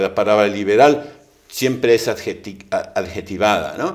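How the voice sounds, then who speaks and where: With ordinary pitch variation, a man talks at a fairly low pitch and a moderate pace. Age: 60s. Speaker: economist, think tank figure. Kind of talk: interview conversation. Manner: hesitant, many fillers.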